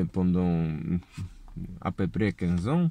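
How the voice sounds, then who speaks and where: A man speaks very slowly in a Polish accent. The sound is dry, with no echo. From Poland. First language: Polish (speaking French). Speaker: political video blogger, construction worker. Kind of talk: political lecture; casual vlog chat. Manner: halting. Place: car. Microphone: phone near.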